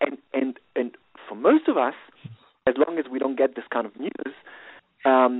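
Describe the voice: A man's voice carries a slightly husky edge and lively intonation. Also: medium pitch for a man, moderate pace, dry, close sound with no echo.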